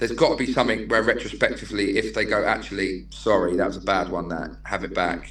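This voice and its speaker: A man with a Manchester accent at a very fast pace, with audible room echo and noticeable background noise. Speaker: non-league football manager. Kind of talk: casual podcast interview. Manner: animated.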